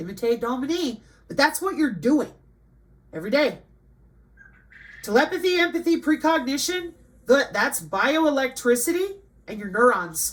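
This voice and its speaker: This woman speaks at a moderate pace in a high-pitched, animated tone. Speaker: online commentator. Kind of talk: livestream commentary.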